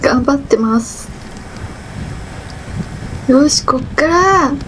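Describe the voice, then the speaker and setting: Over light background noise, the speaker goes at a very slow pace with long, frequent pauses and ordinary pitch variation. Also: woman. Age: 50s. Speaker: cyclist vlogger. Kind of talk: casual vlog narration while cycling. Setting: outdoors. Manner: out of breath, effortful. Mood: playful, lightly self-mocking. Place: bicycle. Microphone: camera far.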